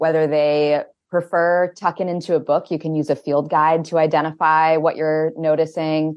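A woman's very deep, low voice in an American accent, monotone and flat, at a moderate pace. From Maine, US (Winterport). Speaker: outdoor educator. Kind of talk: radio interview. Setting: remote call into a virtual radio studio.

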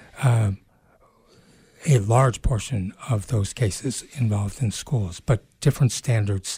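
Very slow speech with ordinary pitch variation comes through in a dark, mellow, somewhat breathy tone, with a dry, close sound and no echo. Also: man. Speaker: radio host. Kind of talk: radio interview. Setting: radio studio.

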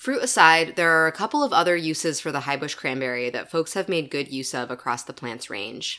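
A woman with a very deep, low pitch speaks at a fairly quick pace with hardly any pauses, a bright, sharp tone and lively intonation on a very clean recording with a silent background. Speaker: nature podcast host. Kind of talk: nature documentary narration, read from a script in a calm, measured, literary style. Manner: formal, polished, scripted delivery.

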